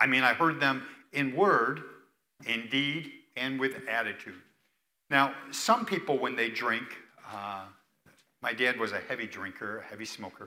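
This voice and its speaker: A man with an American accent and a bright, sharp tone, at a fairly slow pace with long, frequent pauses, ordinary pitch variation and audible room echo. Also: medium pitch for a man. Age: 60s. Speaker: retired pastor. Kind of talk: sermon. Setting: church.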